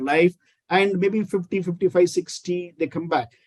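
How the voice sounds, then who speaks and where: A man with an Indian accent talks at a moderate pace in a high pitch. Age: 50s. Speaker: critical care physician. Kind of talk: interview.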